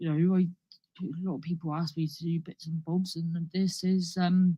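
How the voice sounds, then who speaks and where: A woman with a Cornish accent speaks in a fairly low, somewhat breathy voice with a dark, mellow tone. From Cornwall, England. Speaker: comedian. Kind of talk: stand-up. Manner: rambling, halting with many false starts.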